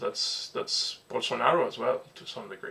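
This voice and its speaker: A man's voice against noticeable background noise. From Venezuela. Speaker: political commentator. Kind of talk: casual talk to camera.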